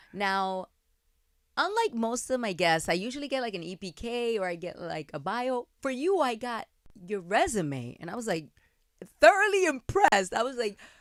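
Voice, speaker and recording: This woman speaks at a moderate pace with an American accent, her fairly high pitch making very wide swings and her loudness rising and falling sharply, in a very clean recording with a silent background. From New York. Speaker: podcast host. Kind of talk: interview. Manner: animated.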